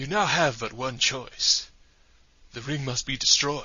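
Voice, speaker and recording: A man uses a put-on character voice. He talks at a medium pitch and a fairly slow pace. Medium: audio drama. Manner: grandiose, formal.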